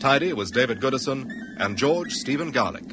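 Over noticeable background noise, a man with a fairly high voice makes very wide pitch swings at a moderate pace. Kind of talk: serial announcer, scripted narration. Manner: formal, clear, measured.

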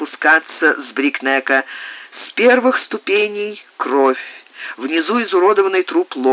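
Here the reading voice sounds unforced.

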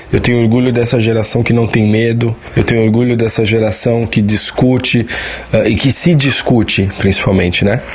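Over noticeable background noise, a man of medium pitch talks at a moderate pace with fairly even intonation and very even loudness. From São Paulo. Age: 30s. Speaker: artist, listener sending audio. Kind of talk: recorded testimony.

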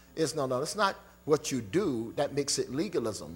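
A man speaks in an animated tone at a moderate pace. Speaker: preacher. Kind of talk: sermon. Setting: church with congregation. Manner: animated, call-and-response preaching with crowd prompts like "say amen"; emphatic, rhetorical questions, repeated "Hello?" for emphasis.

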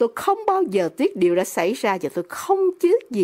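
An unforced reading voice, nothing more

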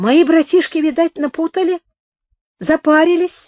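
A squeaky put-on character voice at an extremely high pitch and moderate pace. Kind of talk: colloquial Russian. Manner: ingratiating, fawning.

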